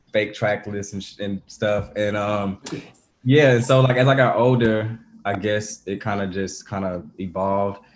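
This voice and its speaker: A man with an Atlanta accent, fairly low pitch, fairly even intonation and a fairly slow pace. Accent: Southern US (Atlanta). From Atlanta, US South. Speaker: musician. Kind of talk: casual interview.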